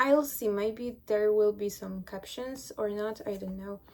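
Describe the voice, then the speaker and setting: Her fairly high-pitched voice carries a non-native accent, and this woman keeps her intonation fairly even. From small village, non-English-speaking country. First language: not English. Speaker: podcaster. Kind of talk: casual monologue. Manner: hesitant, with fillers.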